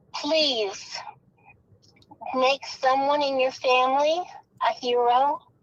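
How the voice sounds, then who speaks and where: A woman's high voice with fairly even intonation, at a very slow pace with long, frequent pauses. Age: 60s. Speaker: caller. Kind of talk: plea to kidnapper on call-in show.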